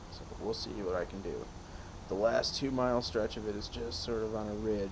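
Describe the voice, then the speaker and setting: Amid noticeable background noise and audible room echo, a man speaks at a moderate pace in a fairly low pitch with ordinary pitch variation. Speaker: hiker vlogger. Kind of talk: vlog monologue. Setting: outdoors on a hiking trail. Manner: quiet.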